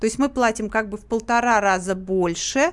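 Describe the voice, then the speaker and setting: At a fairly quick pace, a woman talks in a plain, everyday voice, fairly high in pitch with ordinary pitch variation. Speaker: activist and public chamber member. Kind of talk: radio interview answering questions. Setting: radio studio, live.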